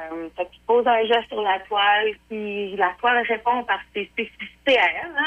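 Noticeable background noise accompanies a woman speaking at a fairly slow pace. Her pitch is fairly high, with ordinary variation. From Quebec, Portneuf. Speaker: painter. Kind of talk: interview. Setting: phone call.

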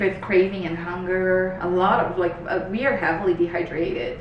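A woman with a fairly low pitch speaks at a moderate pace in a Portuguese accent. Noticeable background noise runs underneath. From Brazil. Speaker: health coach. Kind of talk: casual chat. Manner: animated.

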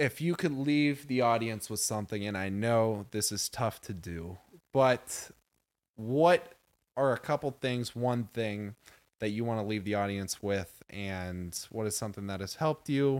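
Speaking at a fairly slow pace, a man with a medium-pitched voice uses lively intonation. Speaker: podcast host. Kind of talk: casual chat. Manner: halting.

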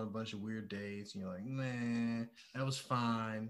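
A man's plain, everyday voice, medium in pitch, fairly slow and fairly even in intonation. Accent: American. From Detroit, Michigan. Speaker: personal trainer. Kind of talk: casual chat.

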